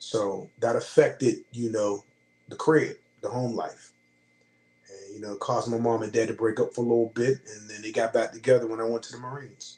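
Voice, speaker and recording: A man's dark, mellow, somewhat breathy voice with an American accent, medium in pitch, fairly quick, with big swings in loudness. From Pittsburgh, US. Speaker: Marine veteran. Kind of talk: casual interview.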